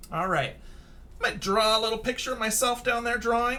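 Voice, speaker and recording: With a raised, projected voice, a man speaks at a high pitch in a bright, sharp tone, with ordinary pitch variation. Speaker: elementary school teacher. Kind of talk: tutorial. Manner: casual.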